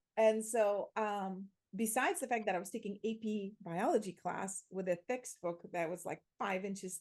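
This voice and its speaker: With a Slovak accent, a woman speaks at a fairly slow pace and a medium pitch. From Slovakia. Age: 40s. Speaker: transformation coach and theatre educator. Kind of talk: interview. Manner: animated.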